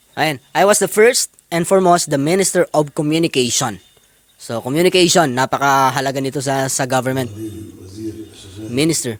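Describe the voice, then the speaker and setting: A man with a plain, everyday voice, fairly high in pitch, talks at a moderate pace with lively intonation, the sound dry and close with no echo. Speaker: vlogger. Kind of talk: casual video commentary, reading and translating subtitles.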